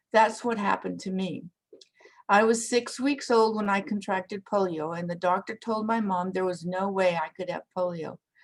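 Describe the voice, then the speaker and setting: A woman speaks in a normal speaking voice at a moderate pace, medium in pitch with ordinary pitch variation, on a very clean recording with a silent background. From Canada. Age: 60s. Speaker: retired teacher. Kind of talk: prepared talk.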